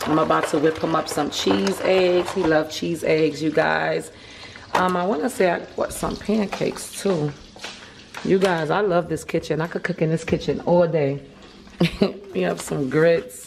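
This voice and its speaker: A woman's very deep, low voice with ordinary pitch variation, a moderate pace and noticeable background noise. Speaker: vlogger. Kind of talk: casual vlog chat. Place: kitchen. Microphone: phone near.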